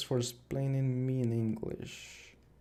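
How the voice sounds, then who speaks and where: With a Spanish accent, the speaker goes at a very slow pace as music plays in the background. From Spain. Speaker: digital artist streamer. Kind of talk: casual live stream chat. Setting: live stream. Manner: halting, many fillers.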